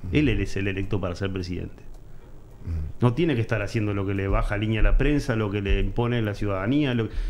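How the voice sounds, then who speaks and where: A man's fairly low voice at a very fast pace, with ordinary pitch variation and light background noise. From Uruguay. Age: 40s. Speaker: political commentator. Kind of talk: interview. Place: studio. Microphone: studio mic.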